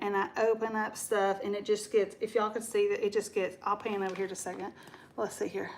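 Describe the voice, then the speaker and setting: Speaking with an American accent, a woman is heard through noticeable background noise. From Texas. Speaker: DIY paint channel host. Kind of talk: live stream casual chat and painting demo. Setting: home live stream on camera. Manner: chatty, informal.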